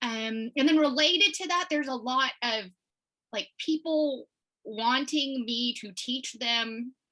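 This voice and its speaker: A woman's high, bright, sharp voice, raised and projected, with an American accent, lively intonation and a fairly slow pace. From Texas, Houston area. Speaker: watercolor illustrator. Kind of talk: interview.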